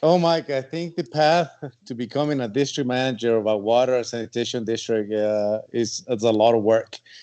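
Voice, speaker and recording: Over a quiet background, a man with an American accent talks at a fairly quick pace, his dark, mellow, medium-pitched voice showing ordinary pitch variation. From outside the US. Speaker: water district manager. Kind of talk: podcast interview. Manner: halting.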